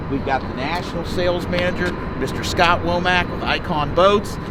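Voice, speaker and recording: Against noticeable background noise and audible room echo, a man speaks at a moderate pace in a high pitch. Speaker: boat dealer. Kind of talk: product walkthrough. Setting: indoors at a boat factory. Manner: keeping voice down, quiet.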